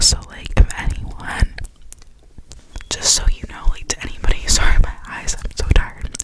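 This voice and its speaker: The woman speaks in a whisper. Behind her there is noticeable background noise. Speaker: ASMR creator. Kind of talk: ASMR whisper ramble. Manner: whispered, soft-spoken.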